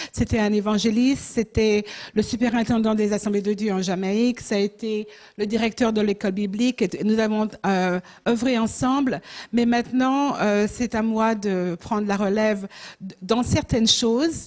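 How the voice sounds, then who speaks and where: A woman's fairly high voice at a moderate pace, with fairly even intonation, over a quiet background. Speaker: missionary and pastor. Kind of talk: church mission presentation. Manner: halting, many hesitations.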